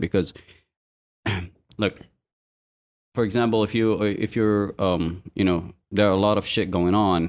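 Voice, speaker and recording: Recorded very cleanly against a silent background, a man with a very deep, low pitch speaks at a moderate pace in an Arabic accent with ordinary pitch variation. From Yemen. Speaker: podcast co-host. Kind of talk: casual chat. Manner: halting.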